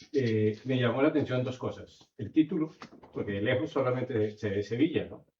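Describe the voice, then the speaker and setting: A man with medium pitch talks at a moderate pace with ordinary pitch variation. His loudness swings widely. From Colombia. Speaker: audience member. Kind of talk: audience comment.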